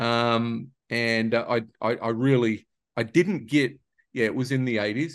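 A man's fairly slow speech in an Australian accent, with fairly even intonation against a quiet background. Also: medium pitch for a man. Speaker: podcast host. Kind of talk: casual interview. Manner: halting, filler-heavy.

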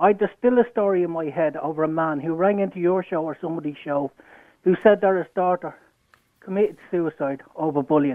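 The speaker has an Irish accent and ordinary pitch variation. The pace is fairly quick. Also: man, high pitch for a man. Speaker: caller. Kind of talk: heated debate. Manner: animated.

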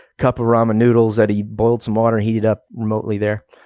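Against a quiet background, a man with an American accent speaks with monotone, flat intonation. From Oklahoma. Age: 30s. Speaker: wildland firefighter. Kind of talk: interview, casual. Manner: halting, many fillers and repeats.

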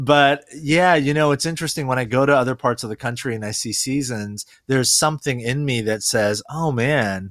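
The recording is very clean, with a silent background. A man speaks in an unremarkable speaking voice at a medium pitch and a moderate pace. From South Korea, raised in US. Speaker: pastor. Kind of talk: podcast interview.

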